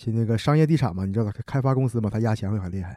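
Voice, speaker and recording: A man speaks at a fairly low pitch with a dark, mellow tone and ordinary pitch variation. The sound is dry and close with no echo, in a very clean recording with a silent background. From Heilongjiang, Hegang (Northeast China). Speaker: construction materials worker. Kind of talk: casual chat.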